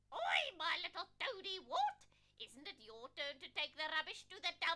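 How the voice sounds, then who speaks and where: A female-sounding cartoonish character voice at a moderate pace. The pitch is extremely high. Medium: puppet show. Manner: sly, teasing, bossy.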